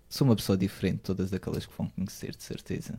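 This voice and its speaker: Speaking with a European Portuguese accent, a man has a fairly low pitch and a dark, mellow tone. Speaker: student. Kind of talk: casual chat.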